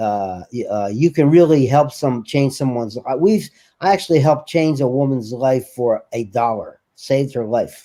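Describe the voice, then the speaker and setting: A dark, mellow tone with hardly any pauses. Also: man, medium pitch for a man, ordinary pitch variation, moderate pace. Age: 70s. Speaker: charity founder. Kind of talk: interview.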